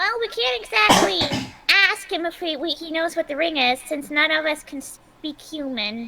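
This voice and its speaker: A put-on character voice with a high pitch at a moderate pace. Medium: actual play.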